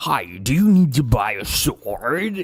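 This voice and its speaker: A put-on character voice with an American accent, pitched low-to-middle, delivered at a fairly slow pace with very wide pitch swings. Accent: exaggerated American English. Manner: overdone, odd-sounding.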